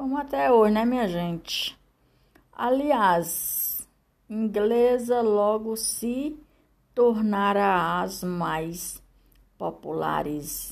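At a very slow pace with long, frequent pauses, a woman speaks in a medium pitch and lively intonation on a very clean recording with a silent background. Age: 60s. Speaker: podcaster. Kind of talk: reading aloud. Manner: halting.

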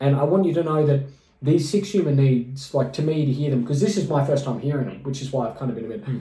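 A man whose pitch is fairly high rattles along at a very fast pace while noticeable background noise carries on. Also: ordinary pitch variation. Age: 30s. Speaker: podcast co-host and musician. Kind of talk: casual chat.

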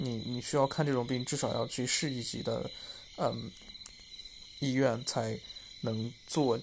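A man at medium pitch talks with monotone, flat intonation. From rural China. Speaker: vlogger. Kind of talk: personal reflection monologue. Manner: halting, many fillers.

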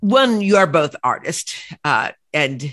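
A woman talks while the background stays quiet. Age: 60s. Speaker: novelist and podcast host. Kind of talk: interview conversation.

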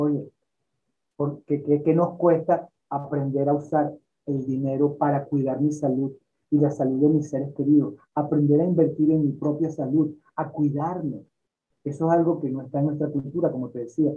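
A man talks at a moderate pace. His intonation is monotone and flat. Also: fairly high pitch for a man. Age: 60s. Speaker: health and lifestyle teacher. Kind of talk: interview. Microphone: poor internet connection.

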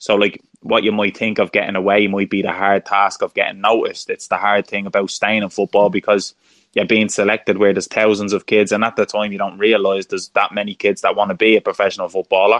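In a Dublin accent, a man with a fairly low pitch talks very fast with monotone, flat intonation. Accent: Dublin Irish. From Ireland, Dublin. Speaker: former professional footballer. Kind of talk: interview conversation. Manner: halting, repeats words.

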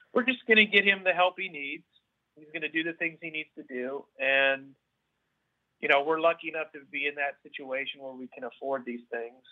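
A man with a normal speaking voice, fairly high in pitch, talks at a fairly quick pace with ordinary pitch variation and big swings in loudness. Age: 40s. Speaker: parent of child with genetic condition. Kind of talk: podcast interview.

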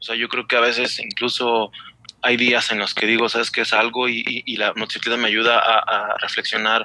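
The man's delivery moves at a fairly quick pace. It is monotone and flat in intonation. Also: medium pitch for a man. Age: 40s. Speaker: novice motorcyclist. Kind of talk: casual chat.

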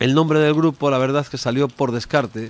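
Speech from this man comes at a very fast pace. The variation in his pitch is ordinary. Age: 50s. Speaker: rock singer. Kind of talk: interview.

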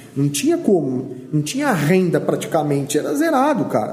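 With noticeable background noise behind him, a man speaks at a moderate pace in a high pitch that swings very widely. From Brazil, Vale do Ribeira (São Paulo state). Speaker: pastor. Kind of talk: casual chat. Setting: studio. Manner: animated.

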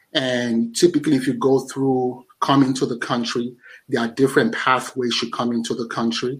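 Delivery is monotone and flat. The pace is moderate. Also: man, medium pitch for a man. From Nigeria. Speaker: podcast host and guest. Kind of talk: interview conversation.

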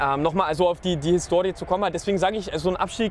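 A man talks at high pitch with fairly even intonation. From Nuremberg, Franconia. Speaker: football fan. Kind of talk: casual chat.

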